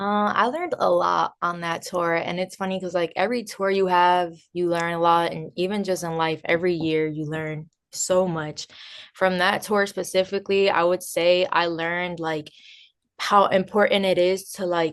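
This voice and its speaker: Flat and monotone, a woman speaks at a moderate pace in a New Jersey accent. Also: fairly low pitch for a woman. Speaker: DJ and music producer. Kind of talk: interview.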